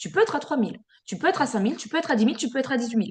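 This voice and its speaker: A woman speaks with a high pitch. Her intonation is lively. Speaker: sales team trainer. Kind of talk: online training session. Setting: video call. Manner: fast; filler-heavy.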